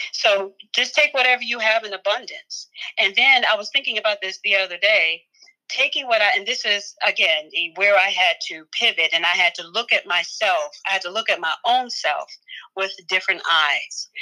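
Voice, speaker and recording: A woman's medium-pitched voice with an American accent, a bright, sharp tone, lively intonation and a moderate pace. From Philadelphia, US. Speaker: author and life coach. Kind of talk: casual interview chat. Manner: animated.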